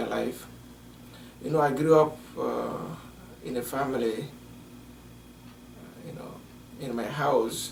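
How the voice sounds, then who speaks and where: Audible room echo and noticeable background noise around a male speaker whose pitch varies in an ordinary way. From Togo, West Africa. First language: French. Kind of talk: interview. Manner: halting, many fillers.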